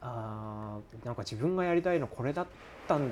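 The man's tone is calm, with lively intonation. He speaks at a fairly quick pace. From Japan, Fukushima. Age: 20s. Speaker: pizza maker. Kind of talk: casual chat.

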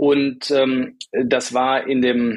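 A man at a medium pitch. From Rhineland, Germany. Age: 50s. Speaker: startup founder. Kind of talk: interview. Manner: hesitant, many fillers.

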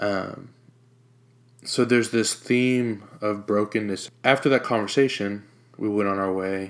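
A man with an American accent and a fairly low pitch is heard in a very clean recording with a silent background. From Jacksonville, Florida. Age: 20s. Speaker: podcast host. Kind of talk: personal testimony.

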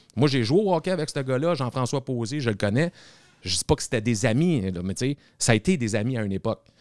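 Speaking at a very fast pace with lively intonation, a man at medium pitch sounds dry and close with no echo in a very clean recording with a silent background. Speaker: TikToker. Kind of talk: casual chat.

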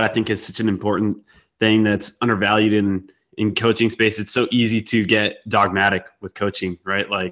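This man has an ordinary speaking voice, pitched fairly low, and talks at a moderate pace. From Wisconsin, US Midwest. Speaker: podcast host, nutrition coach. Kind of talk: casual interview chat.

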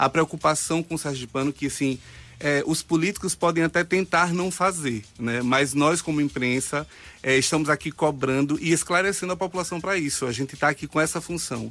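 With music in the background, a man with a fairly high pitch speaks at a fairly quick pace and ordinary pitch variation. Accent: Bahian. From Bahia, Brazil (Juazeiro). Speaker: cycling activist. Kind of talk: radio interview. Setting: radio studio.

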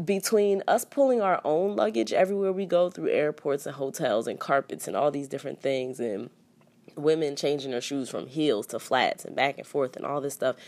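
A woman with a very deep, low pitch and a relaxed tone, lively intonation and a moderate pace, on a very clean recording with a silent background. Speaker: flight attendant podcast host. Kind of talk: casual solo monologue. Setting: hotel room. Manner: rambling, relaxed.

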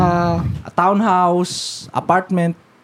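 A man speaks in a high pitch. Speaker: podcast co-host. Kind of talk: casual chat.

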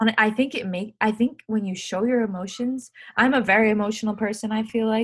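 Somewhat breathy, the voice moves at a fairly quick pace with fairly even intonation. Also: woman, fairly high pitch for a woman. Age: 20s. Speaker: professional ice hockey player. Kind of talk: casual interview. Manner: halting, many fillers.

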